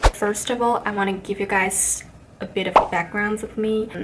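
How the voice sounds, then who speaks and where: A woman with a Chinese accent talks at medium pitch and a moderate pace, with fairly even intonation and noticeable background noise. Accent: Chinese accent, non-native speaker. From China. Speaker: vlogger. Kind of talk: casual vlog talk.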